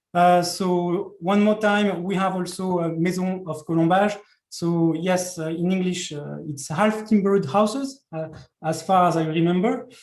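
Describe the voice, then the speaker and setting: The speaker has a French accent and keeps a moderate pace. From France. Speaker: conference organizer. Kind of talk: conference presentation. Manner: halting, many fillers.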